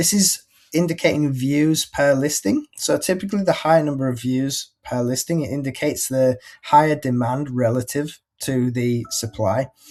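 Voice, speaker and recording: In a very clean recording with a silent background, a man with a Yorkshire accent speaks at a moderate pace and a fairly high pitch. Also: ordinary pitch variation. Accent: Yorkshire, northern English. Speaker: pet marketplace breeder relations manager. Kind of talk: presentation of an industry report. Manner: halting, many repetitions and fillers; casual, conversational.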